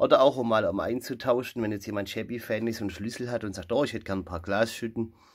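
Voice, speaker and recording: A man's voice with ordinary pitch variation. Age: 30s. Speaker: video creator showing collected items. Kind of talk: show-and-tell haul video. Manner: animated. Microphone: phone near.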